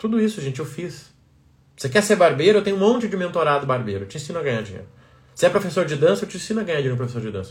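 A man with a fairly high pitch and vocal fry, very fast, with very wide pitch swings and big swings in loudness. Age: 30s. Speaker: business coach. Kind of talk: live stream talk. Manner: animated.

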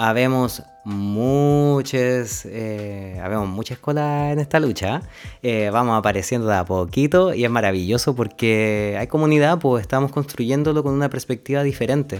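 With a normal speaking voice, a man talks at a moderate pace, his medium pitch showing ordinary variation. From Chile, Linares (Maule region). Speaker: human ecologist, NGO climate director. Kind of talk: casual interview chat.

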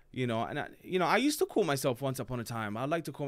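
Speaking very fast with an English accent, a man sounds animated, his pitch swinging very widely. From born in Palermo, Sicily, raised in UK (London). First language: Italian. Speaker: comedian. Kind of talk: casual chat. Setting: studio.

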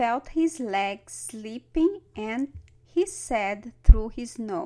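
Lively intonation in plain reading aloud

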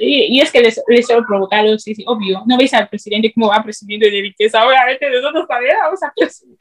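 A woman's fairly high, fairly quick voice with ordinary pitch variation, a normal speaking voice. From Equatorial Guinea. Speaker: student and video creator. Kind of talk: interview.

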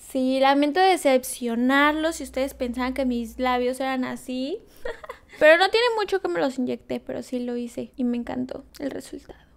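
Her voice high in pitch, a woman talks rather slowly. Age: 20s. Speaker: ASMR YouTuber. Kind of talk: casual vlog talk to camera.

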